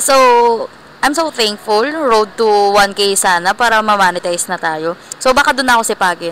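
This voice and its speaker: A woman talks at a moderate pace and medium pitch with lively intonation. Noticeable background noise is present. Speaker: vlogger. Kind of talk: casual vlog. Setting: indoor mall. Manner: soft-spoken.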